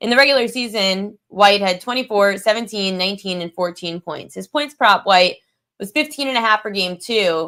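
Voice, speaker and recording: A woman speaks at a medium pitch with a bright, sharp tone. The recording is very clean, with a silent background. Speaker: sports betting analyst. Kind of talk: casual betting tips livestream. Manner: mumbling; casual with fillers.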